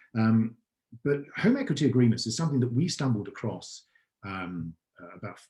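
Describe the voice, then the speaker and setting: A man with an English accent, somewhat breathy, with a dark, mellow tone and a moderate pace. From England. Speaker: startup founder and CEO. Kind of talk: podcast interview answer.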